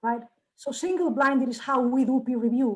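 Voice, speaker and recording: A woman with a Spanish accent speaks at a moderate pace in a high pitch, her tone dark and mellow and her intonation fairly even. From Spain. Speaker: journal editor. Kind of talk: Q&A session. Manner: halting.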